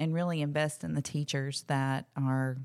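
A woman with an Alabama accent speaks in a monotone, flat intonation at a moderate pace on a very clean recording with a silent background. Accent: Southern US, Alabama. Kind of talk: casual chat.

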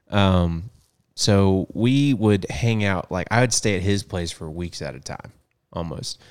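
A man with a plain, everyday voice, fairly low in pitch, at a fairly slow pace, on a very clean recording with a silent background. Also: ordinary pitch variation. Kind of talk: casual conversational podcast chat. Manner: casual, laid-back.

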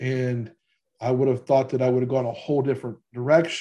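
Dark and mellow in tone, a man's somewhat breathy, medium-pitched voice moves at a fairly quick pace. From Louisiana. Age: 40s. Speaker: podcast host and financial advisor. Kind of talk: casual interview.

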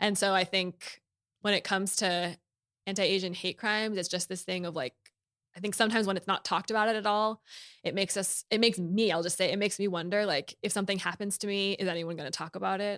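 Speaking at a very fast pace with an American accent, a woman of medium pitch keeps fairly even intonation in a dry, close sound with no echo on a very clean recording with a silent background. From US West Coast (Bay Area). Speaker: filmmaker and director. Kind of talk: casual interview conversation. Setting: studio.

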